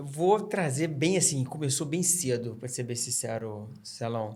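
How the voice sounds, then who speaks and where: A man with a slight Minas Gerais accent speaks at a very slow pace in a medium pitch, his voice somewhat breathy. His intonation is lively, and the room echo is audible. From Minas Gerais, Brazil (Barbacena). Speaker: trail runner. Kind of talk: podcast interview.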